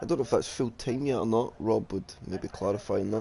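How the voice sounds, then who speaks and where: With a Scottish accent, the speaker moves at a fairly quick pace with ordinary pitch variation. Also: man. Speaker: sim racing league commentator. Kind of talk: live commentary. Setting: live stream.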